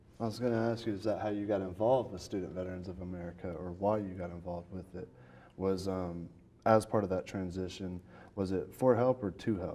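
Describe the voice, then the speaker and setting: This man's voice is very deep and low, with a dark, mellow tone and a slight Southern US accent. He talks at a fairly quick pace with fairly even intonation. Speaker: podcast host, interviewer. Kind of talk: interview.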